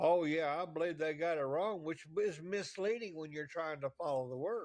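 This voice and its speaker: This man talks at a moderate pace. His pitch is fairly high and varies in an ordinary way. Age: 60s. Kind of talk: casual debate. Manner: halting.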